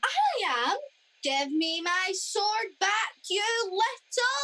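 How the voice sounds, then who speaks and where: A put-on character voice at an extremely high pitch and a very slow pace. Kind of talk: radio comedy play acting. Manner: confused, petulant.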